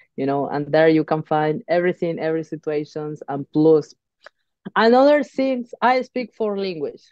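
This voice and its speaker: Speaking at a moderate pace with a Spanish accent, a woman uses a very deep, low voice and lively intonation, in a dry, close sound with no echo. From Uruguay. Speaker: professional boxer. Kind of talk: interview. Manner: halting.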